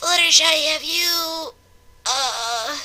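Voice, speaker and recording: Putting on a character voice, a woman pitches it extremely high. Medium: read story. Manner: halting, stammering.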